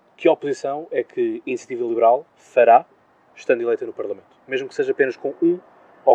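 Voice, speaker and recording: A man rushes along at a very fast pace, his loudness swinging widely. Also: dry, close sound with no echo. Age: 20s. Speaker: podcast host. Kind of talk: interview. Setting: outdoor terrace.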